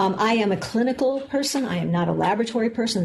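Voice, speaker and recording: An American-accented woman talks at a fairly quick pace. Noticeable background noise and audible room echo surround her. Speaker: medical geneticist, professor. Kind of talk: lecture. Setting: lecture room with audience, filmed. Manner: fast.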